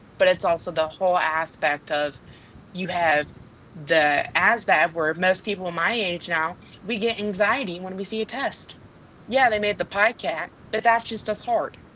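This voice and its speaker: A woman at a medium pitch talks at a moderate speed in a normal speaking voice, with ordinary pitch variation. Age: 20s. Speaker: young military recruit or aspiring enlistee. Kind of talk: panel discussion.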